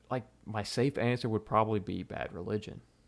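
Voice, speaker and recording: A man with a Southern US accent speaks at a fairly low pitch. His intonation is fairly even, and the recording is very clean with a silent background. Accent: southern twang. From US South, Mississippi. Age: 20s. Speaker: content creator. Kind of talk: live stream Q&A. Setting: live stream. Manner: casual, rambling with fillers.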